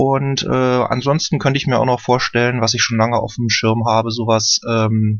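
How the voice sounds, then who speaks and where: The speaker is a man with an unremarkable speaking voice. His pitch is medium. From Berlin. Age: 30s. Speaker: caller. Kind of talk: casual chat.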